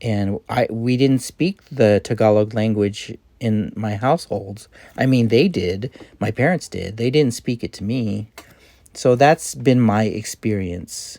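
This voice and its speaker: A man speaks fairly slowly with a General American accent, at a medium pitch with ordinary pitch variation. The sound is dry and close, with no echo. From California, US. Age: 50s. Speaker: army veteran, vlogger. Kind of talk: personal monologue. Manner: halting.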